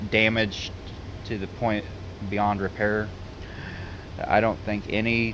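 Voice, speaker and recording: In a Southern US accent, a man speaks at a fairly slow pace with a fairly low pitch and monotone, flat intonation, amid audible room echo and noticeable background noise. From US South. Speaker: gaming YouTuber. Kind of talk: casual vlog monologue. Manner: halting.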